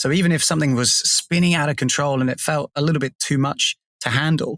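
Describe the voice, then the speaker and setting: With an English accent, a man speaks at a moderate pace in a fairly high pitch. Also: dry, close sound with no echo, very clean recording, silent background. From England. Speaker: podcast co-host. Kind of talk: casual chat.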